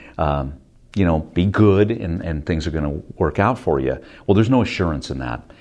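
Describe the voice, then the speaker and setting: With an American accent, a man speaks at a moderate pace in a very deep, low voice. His intonation is lively, and there is vocal fry. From US West Coast, Stockton, Northern California. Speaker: television news anchor. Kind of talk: interview.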